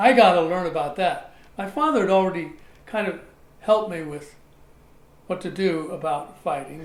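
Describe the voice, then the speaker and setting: A man with an American accent and a high pitch, ordinary pitch variation, big swings in loudness and long, frequent pauses. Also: moderate pace. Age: 80s+. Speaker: actor and martial artist. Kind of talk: podcast interview answer.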